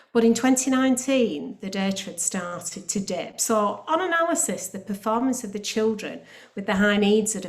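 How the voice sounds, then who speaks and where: Pitch variation here is ordinary, and the pace is moderate. There is a somewhat breathy quality to the voice. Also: woman. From northern England, Bolton. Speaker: academy trust chief executive. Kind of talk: panel presentation. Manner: hesitant, with frequent fillers.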